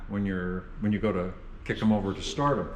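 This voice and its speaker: Audible room echo fills the recording. The voice belongs to a man. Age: 70s. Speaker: vintage motorcycle restorer and dealer. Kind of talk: casual chat.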